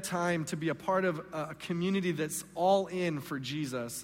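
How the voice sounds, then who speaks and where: A high-pitched man with an American accent speaks fairly slowly, with ordinary pitch variation. Audible room echo surrounds the voice. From Southern California. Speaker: guest pastor. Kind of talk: sermon. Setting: church stage with congregation.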